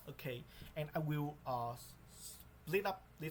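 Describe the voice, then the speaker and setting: A man's somewhat breathy voice. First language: not English. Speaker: English learner. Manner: halting.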